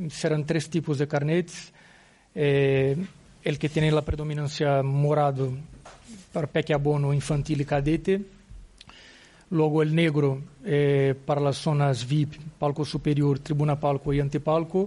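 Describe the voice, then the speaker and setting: With a Portuguese accent, a man speaks at a fairly slow pace, his fairly high pitch held in monotone, flat intonation and broken by long, frequent pauses. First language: Portuguese (speaking Spanish). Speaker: football club executive. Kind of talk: press conference. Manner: halting.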